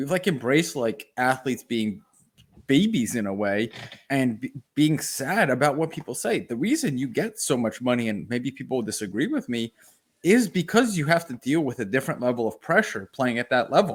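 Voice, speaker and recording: A man's medium-pitched voice, animated in tone, with lively intonation at a fairly quick pace. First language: not English. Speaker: sports podcast co-host. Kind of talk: casual chat.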